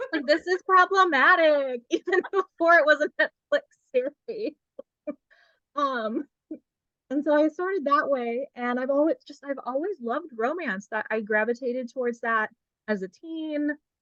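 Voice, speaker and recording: A woman with a Californian accent projects a raised, high-pitched voice with a bright, sharp tone, lively intonation and a moderate pace. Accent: California. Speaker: romance author. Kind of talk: casual interview. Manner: animated.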